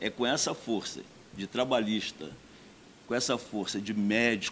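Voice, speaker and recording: A man is speaking here. His pace is fairly slow. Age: 60s. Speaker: doctor and mayoral candidate. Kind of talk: campaign speech.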